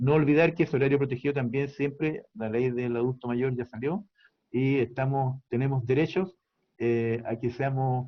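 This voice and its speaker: Fairly even intonation carries this speech along at a moderate pace. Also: man. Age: 60s. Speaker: doctor. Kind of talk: interview. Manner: halting.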